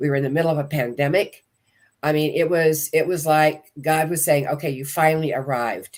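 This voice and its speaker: A woman talks at a fairly quick pace with ordinary pitch variation. Her pitch is very deep and low. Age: 70s. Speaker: motivational speaker and author. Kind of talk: testimony.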